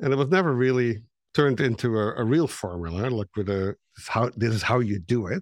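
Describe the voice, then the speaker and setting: With a Dutch accent and lively intonation, the speaker goes on with hardly any pauses in a dry, close sound with no echo against a quiet background. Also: man. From Netherlands. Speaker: marketing consultant and author. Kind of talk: interview. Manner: animated.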